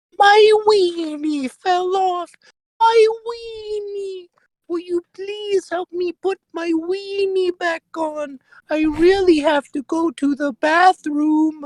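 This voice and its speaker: The voice is an extremely high-pitched, put-on character voice. It goes at a very slow pace. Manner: desperate, pleading.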